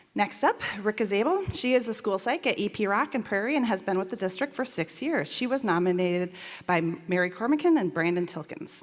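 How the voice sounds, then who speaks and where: A woman's medium-pitched voice at a fairly quick pace, with very wide pitch swings and noticeable background noise. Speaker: school district staff presenter. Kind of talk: reading aloud staff award nominations. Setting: school board meeting. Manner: fast.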